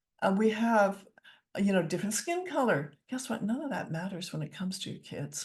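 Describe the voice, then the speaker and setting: Speaking at a fairly quick pace, a woman uses lively intonation at a medium pitch, her voice somewhat breathy. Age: 60s. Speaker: counsellor, author and public speaker. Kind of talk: interview conversation. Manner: animated.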